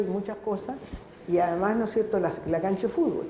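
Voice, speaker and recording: Audible room echo and noticeable background noise surround this recording. A woman talks at a moderate pace and medium pitch with ordinary pitch variation. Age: 70s. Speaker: audience member, teacher. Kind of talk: audience question at public debate. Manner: halting, with false starts.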